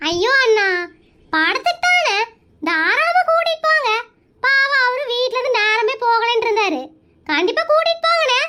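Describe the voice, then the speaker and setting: A woman's squeaky, cartoonish character voice at an extremely high pitch, with very wide pitch swings, very even loudness and a fairly slow pace. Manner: scolding, rapid-fire.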